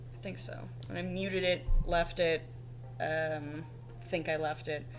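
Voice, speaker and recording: A woman's very deep, low pitch with very wide pitch swings, over noticeable background noise. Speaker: artist livestreamer. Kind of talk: casual chat. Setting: livestream. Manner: halting.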